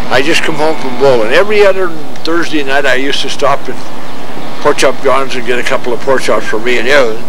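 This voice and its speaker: The recording of a man is dry with no echo, and background noise is noticeable. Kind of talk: oral history interview answer. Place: open country.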